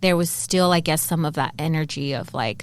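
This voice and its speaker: A woman's fairly low voice with an American accent, an ordinary speaking voice at a moderate pace, ordinary pitch variation, and a very clean, silent recording. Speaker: podcast co-host. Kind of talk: casual chat.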